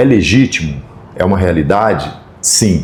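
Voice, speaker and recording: With ordinary pitch variation, a man speaks at a fairly low pitch over noticeable background noise. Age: 60s. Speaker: equipment rental company professional. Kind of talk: podcast interview. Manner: halting.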